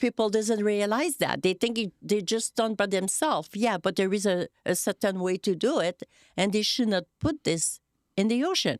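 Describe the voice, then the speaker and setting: Speaking with a French Canadian accent, a woman talks at a moderate pace and medium pitch with ordinary pitch variation and very even loudness, in a very clean, dry, close recording with a silent background and no echo. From Quebec. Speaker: podcast co-host. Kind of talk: casual chat.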